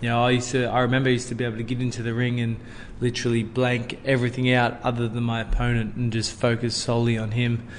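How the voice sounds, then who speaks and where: Very fast and in a flat monotone, a man with an Australian accent speaks amid audible room echo. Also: medium pitch for a man. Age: 30s. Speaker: former boxing world champion. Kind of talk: casual interview.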